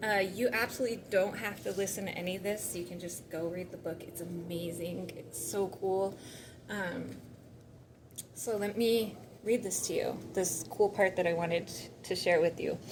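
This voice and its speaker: Speaking at a moderate pace, a woman with a medium pitch and ordinary pitch variation is heard over noticeable background noise and audible room echo. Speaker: spiritual vlogger. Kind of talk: reading aloud; casual chat.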